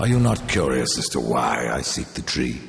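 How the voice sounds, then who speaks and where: Over clear background noise, someone speaks at a moderate pace in a put-on character voice. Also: man, very deep, low pitch for a man. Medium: video game. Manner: terse, cold, commanding.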